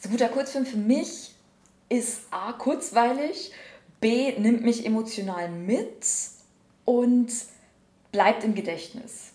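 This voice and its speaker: A woman's fairly high voice at a very slow pace, with long, frequent pauses, ordinary pitch variation, audible room echo and noticeable background noise. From Bavaria, Upper Palatinate (Schwandorf). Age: 20s. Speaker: screenwriter. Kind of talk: casual interview. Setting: on location after jury session.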